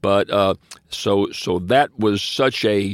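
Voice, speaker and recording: A man is speaking. He has a Southern US accent. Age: 80s+. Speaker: podcast co-host. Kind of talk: casual chat.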